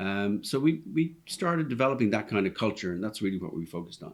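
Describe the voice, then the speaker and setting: Very fast speech from a man with an Irish accent, fairly low in pitch and lively in intonation. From Ireland, Dublin. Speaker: restaurant owner. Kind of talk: podcast interview. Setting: restaurant.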